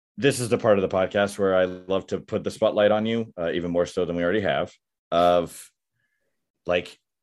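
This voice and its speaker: Music plays in the background as a man talks in a very deep, low voice. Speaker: podcast host. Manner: casual, conversational.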